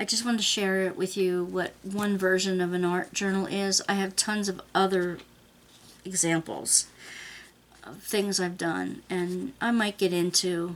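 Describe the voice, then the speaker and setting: Speaking slowly-ish in an unremarkable speaking voice, a woman keeps a medium pitch and fairly even intonation. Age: 60s. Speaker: craft and art journaling vlogger. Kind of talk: casual video monologue. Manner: conversational, with filler pauses.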